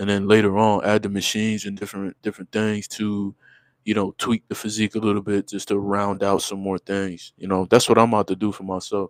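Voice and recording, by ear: In a dry, close sound with no echo, a man talks at a fairly quick pace with a fairly low pitch and monotone, flat intonation.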